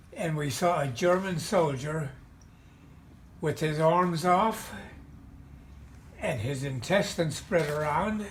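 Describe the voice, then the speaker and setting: Audible room echo surrounds a man speaking at a very slow pace. His pitch is fairly high, with ordinary variation. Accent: American. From Pennsylvania, Mahanoy City area. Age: 90s. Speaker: war veteran. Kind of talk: oral history interview. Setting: video call. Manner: halting.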